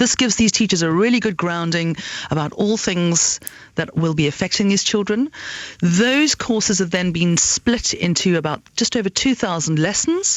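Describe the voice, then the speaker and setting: A woman with a South African accent speaks at a medium pitch with lively intonation. Her loudness stays very even. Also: moderate pace. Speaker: education entrepreneur. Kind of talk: radio interview. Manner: halting.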